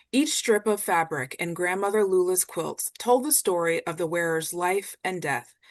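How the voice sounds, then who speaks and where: This woman has an unremarkable speaking voice with an American accent, medium pitch and ordinary pitch variation. She talks at a moderate pace against a quiet background. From US South. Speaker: art history faculty, moderator. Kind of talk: scripted introduction.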